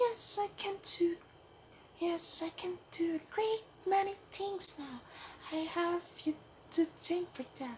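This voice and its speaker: A man uses a put-on character voice at an extremely high pitch. He speaks at a fairly slow pace with long, frequent pauses. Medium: solo performance. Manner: smooth, silky, coaxing.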